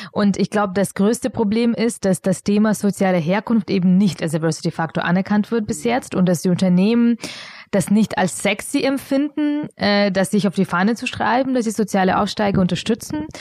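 This woman has a medium-pitched voice with a non-native accent, speaking at a moderate pace with ordinary pitch variation and very even loudness, in a dry, close sound with no echo. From Bavaria, Augsburg. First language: not German (speaking German). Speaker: founder of a social enterprise. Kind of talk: interview. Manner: hesitant with many fillers.

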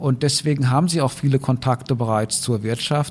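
Fairly even intonation and a somewhat breathy quality in a male voice. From Rhineland-Palatinate, Germany. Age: 50s. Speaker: university president, professor. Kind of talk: interview.

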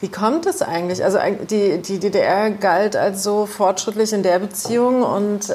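A woman speaks at a fairly slow pace with a medium pitch and fairly even intonation. Background noise is noticeable. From East Germany. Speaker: journalist. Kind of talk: interview.

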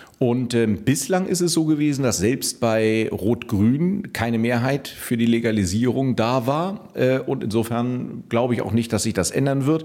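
A fairly slow pace and lively intonation in an ordinary speaking voice, with hardly any pauses. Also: man, medium pitch for a man. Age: 40s. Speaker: politician and lawyer. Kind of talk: political interview.

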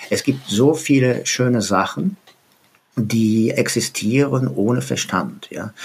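Very slowly, a man speaks at a medium pitch with lively intonation. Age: 70s. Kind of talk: interview.

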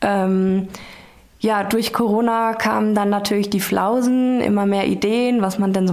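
A woman's medium-pitched, monotone voice at a fairly slow pace, with audible room echo and noticeable background noise. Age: 30s. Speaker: hotel successor. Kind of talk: interview. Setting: hotel room.

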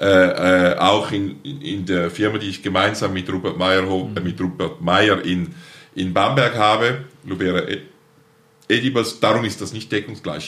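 A man speaks at a moderate pace with a bright, sharp tone. His loudness swings widely. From eastern Switzerland, St. Gallen Rheintal. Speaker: plant breeder and nursery company founder. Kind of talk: interview conversation.

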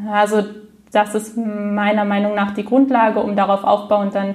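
There is noticeable background noise. Through it, a woman speaks fairly slowly. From Frankfurt, Germany. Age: 20s. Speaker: stuttering self-help group leader. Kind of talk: interview. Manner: repetitions and blocks.

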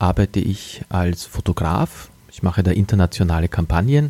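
At a moderate pace, a man speaks with a dark, mellow tone and ordinary pitch variation in a dry, close sound with no echo. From Austria, Wachau region (Lower Austria). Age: 40s. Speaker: podcast host and communications agency owner. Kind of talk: motivational monologue. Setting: living room at home, early morning.

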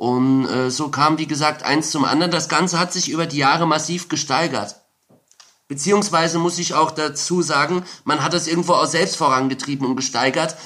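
Keeping his intonation fairly even, a man talks at a moderate pace in a fairly high voice. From Saarland, Germany. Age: 30s. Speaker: former drug producer and ex-prisoner. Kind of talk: interview testimony. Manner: frequent hesitations.

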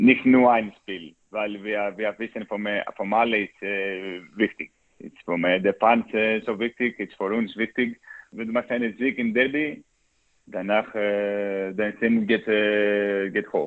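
With fairly even intonation and a fairly low pitch, a man speaks at a fairly slow pace, his loudness swinging widely. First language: Greek (speaking German). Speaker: professional footballer. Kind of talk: interview. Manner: halting, many hesitations.

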